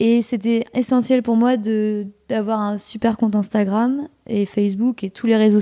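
A woman's fairly high, dark, mellow voice, monotone and flat, at a fairly slow pace in a dry, close sound with no echo. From Normandy, France. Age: 20s. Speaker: entrepreneur. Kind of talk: interview.

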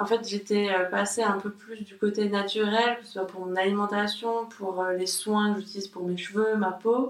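Over noticeable background noise, a woman speaks at a moderate pace. Her medium-pitched voice has fairly even intonation. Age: 30s. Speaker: graphic designer. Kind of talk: casual chat. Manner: halting.

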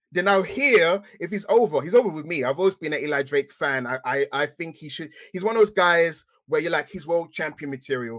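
In an English accent, a man with a high pitch speaks at a fairly quick pace with hardly any pauses, lively intonation and big swings in loudness, and the sound is dry and close with no echo. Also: very clean recording, silent background. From England. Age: 30s. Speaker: wrestling podcaster. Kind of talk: casual chat.

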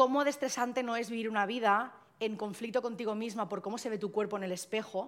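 Talking at a very fast pace, a woman holds a fairly high pitch with fairly even intonation. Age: 20s. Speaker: content creator and activist against fatphobia. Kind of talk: live podcast panel talk. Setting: live recording with audience.

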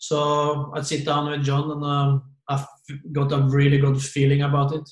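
A man's somewhat breathy voice, fairly high in pitch, with flat, monotone intonation at a moderate pace. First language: Norwegian. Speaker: former football manager. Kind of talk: casual interview. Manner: halting.

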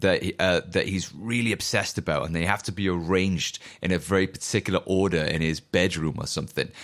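A man with a South Wales accent talks at a very fast pace in a very deep, low pitch, with fairly even intonation and hardly any pauses, on a very clean recording with a silent background. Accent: Welsh (Newport) English. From Wales (Newport). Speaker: musician podcast host. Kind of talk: solo monologue, casual riffing. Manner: casual, profane and rambling.

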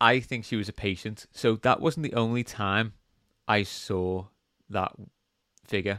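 Long, frequent pauses break up a man's fairly slow speech in an English accent, his fairly low pitch showing ordinary pitch variation. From England. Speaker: podcast host. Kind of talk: horror story narration, read aloud in a hushed, suspenseful storytelling voice. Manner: casual, joking banter in between stories.

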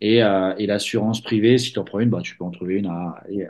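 The background stays quiet. Against it, a man speaks fairly quickly, his pitch varying in an ordinary way. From Paris region, France. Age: 30s. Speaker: tennis scholarship agent. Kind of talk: interview. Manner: halting, many fillers.

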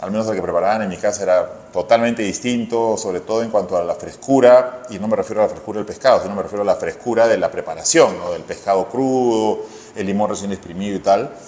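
Over noticeable background noise, a man talks very fast. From Peru, Lima. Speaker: chef. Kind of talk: interview.

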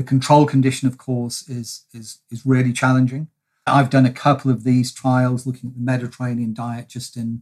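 In a British accent, a man speaks at medium pitch with monotone, flat intonation. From England. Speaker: nutrition and brain researcher. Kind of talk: expert interview. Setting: video call.

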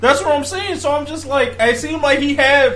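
Audible room echo and noticeable background noise around a man speaking at a moderate pace. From Africa. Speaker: podcast host. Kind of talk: casual chat.

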